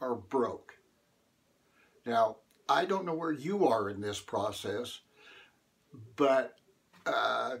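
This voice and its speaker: A man's medium-pitched voice at a very slow pace, with lively intonation. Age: 70s. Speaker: motivational speaker. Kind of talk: motivational talk. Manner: hesitant, many fillers.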